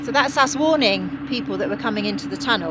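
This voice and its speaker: Loud background noise runs under a woman's voice. The sound itself is dry, with no echo. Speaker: boater vlogger. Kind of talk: casual vlog chat. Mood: excited, a little nervous. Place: boat. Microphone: phone near.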